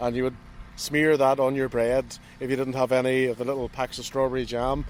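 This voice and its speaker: Against noticeable background noise, a man talks at a fairly quick pace and a medium pitch. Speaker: historical reenactor. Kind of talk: interview answer.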